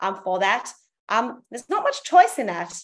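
Over a quiet background, a woman with an Australian accent talks at a moderate pace in a fairly high pitch. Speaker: zoo welfare and training coordinator. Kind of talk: casual interview.

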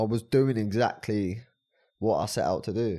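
A man's medium-pitched voice in a southern English accent, dark and mellow in tone, with fairly even intonation, on a very clean recording with a silent background. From Brighton, southern England. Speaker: life coach and personal trainer. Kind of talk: casual chat.

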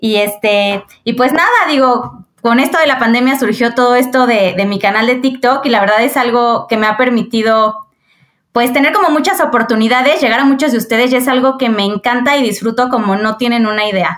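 Speaking with a Mexican accent at a fairly quick pace, a woman has a high pitch, ordinary pitch variation and very even loudness. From Mexico, Querétaro. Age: 30s. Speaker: accountant. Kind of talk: casual interview.

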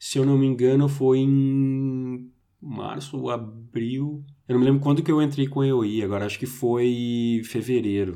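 A dark, mellow tone with fairly even intonation and audible room echo. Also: man, medium pitch for a man, fairly slow pace. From Brazil. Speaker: IT professional. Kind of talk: casual chat. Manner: halting.

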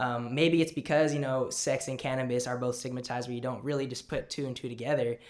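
A man with a medium pitch talks in a normal speaking voice at a fairly quick pace, keeping his intonation fairly even. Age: 20s. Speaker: podcast host. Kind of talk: casual interview.

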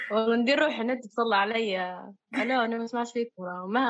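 A woman is talking in a Libyan accent. Her pitch is fairly high. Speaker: podcast co-host. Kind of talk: casual chat.

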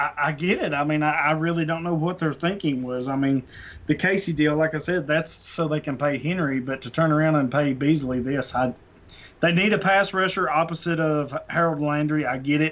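This man has a normal speaking voice, pitched fairly high. He talks at a fairly quick pace with fairly even intonation. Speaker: fantasy football podcast co-host. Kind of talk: casual chat.

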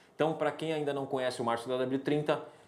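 A man's voice with audible room echo. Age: 40s. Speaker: podcast host. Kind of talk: casual chat.

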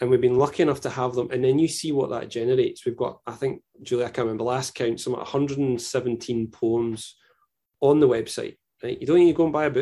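Speaking with a Scottish accent, a man with a dark, mellow tone and medium pitch keeps a fairly even intonation at a fairly quick pace. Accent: Scottish (Fife). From Scotland, Fife. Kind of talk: casual chat.

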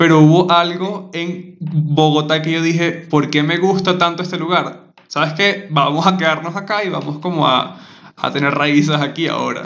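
Monotone, flat intonation at a moderate pace in a Venezuelan accent, with noticeable background noise and audible room echo. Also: man, high pitch for a man. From Venezuela (Maturín). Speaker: podcast host. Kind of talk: casual chat.

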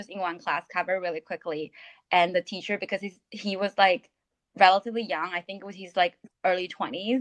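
In a Chinese accent, a woman speaks at a medium pitch with fairly even intonation. The sound is dry and close, with no echo. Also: big swings in loudness. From China. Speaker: podcast co-host. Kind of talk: casual chat.

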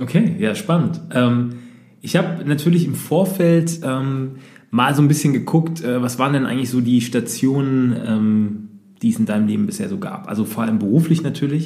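Somewhat breathy and dark, mellow in tone, the voice moves at a fairly quick pace with lively intonation and audible room echo. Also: man. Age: 30s. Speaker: podcast host, entrepreneur. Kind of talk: interview. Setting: coworking space.

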